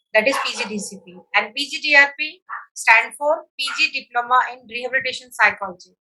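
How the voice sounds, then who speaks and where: A woman speaks at a high pitch and a fairly quick pace with ordinary pitch variation. Her tone is bright and sharp, and her loudness swings widely. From India, Uttar Pradesh (Agra). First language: Hindi. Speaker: psychologist. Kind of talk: interview. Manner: halting.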